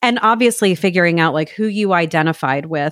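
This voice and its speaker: In a very clean recording with a silent background and a dry, close sound with no echo, a woman with an American accent uses a normal speaking voice, fairly low in pitch, at a moderate pace with ordinary pitch variation. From New York, Brooklyn. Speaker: podcast guest. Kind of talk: casual chat.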